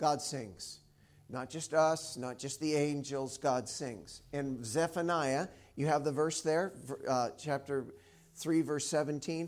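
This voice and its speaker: The recording is very clean, with a silent background. A man speaks very slowly at a fairly high pitch with fairly even intonation. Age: 50s. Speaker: preacher. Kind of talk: sermon. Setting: church. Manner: casual, conversational.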